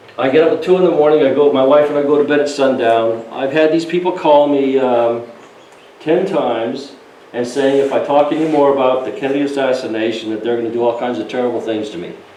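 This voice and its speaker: A man with a fairly high voice talks very fast, his pitch moving in an ordinary way. Noticeable background noise and audible room echo surround him. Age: 70s. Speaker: storyteller. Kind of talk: casual talk to an audience. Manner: halting.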